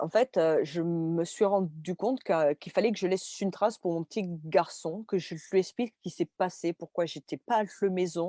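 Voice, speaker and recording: A dark, mellow tone comes through at a moderate pace with hardly any pauses, the sound dry and close with no echo on a very clean recording with a silent background. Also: woman, fairly low pitch for a woman, ordinary pitch variation. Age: 30s. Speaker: stroke survivor and art teacher. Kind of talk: interview. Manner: halting.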